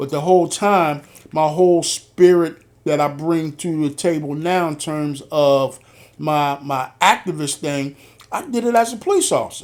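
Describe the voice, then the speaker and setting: Recorded very cleanly with a silent background, a man with an American accent and an unremarkable speaking voice talks at a moderate pace with ordinary pitch variation. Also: fairly high pitch for a man. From Philadelphia, US Northeast. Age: 60s. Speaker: podcast host, retired police officer. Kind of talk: interview conversation.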